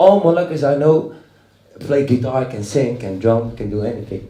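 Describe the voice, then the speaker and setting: A man with a Dutch accent speaks at a moderate pace with lively intonation, in audible room echo. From Netherlands, Dutch-Moroccan. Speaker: rock musician. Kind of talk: panel discussion. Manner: halting.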